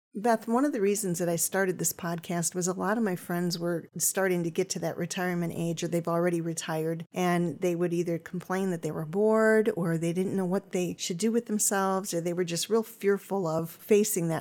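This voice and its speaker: Over a very clean recording with a silent background, a woman in an ordinary speaking voice talks at a fairly quick pace and fairly low pitch with fairly even intonation. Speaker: podcast host. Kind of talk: casual interview.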